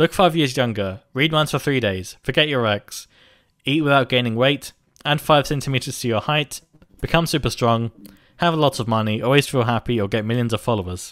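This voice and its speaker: A man speaks in an ordinary speaking voice. His pitch sits in the medium range. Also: ordinary pitch variation, fairly quick pace. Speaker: podcast host. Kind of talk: casual chat. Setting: video call.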